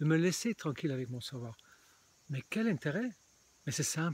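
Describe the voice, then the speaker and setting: A man's fairly high, somewhat breathy voice. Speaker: spiritual video blogger. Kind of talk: casual vlog monologue. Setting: outdoors in a small forest. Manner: halting.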